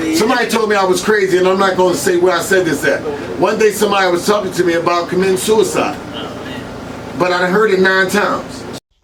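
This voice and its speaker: Over noticeable background noise and audible room echo, a man talks at a very fast pace in a high pitch, keeping his loudness very even. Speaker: hip hop blogger and radio personality. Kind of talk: casual interview. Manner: animated.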